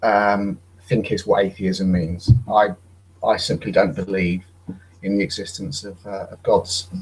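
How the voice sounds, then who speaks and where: A man with a British accent, fairly low in pitch, at a fairly slow pace, with monotone, flat intonation and big swings in loudness. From Britain. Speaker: atheist guest. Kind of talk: casual debate on a video call. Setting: online video hangout. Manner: halting, hesitant.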